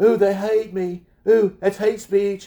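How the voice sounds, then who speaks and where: A man in a whiny put-on character voice talks at high pitch and a fairly slow pace, his intonation monotone and flat. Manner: mocking, whiny.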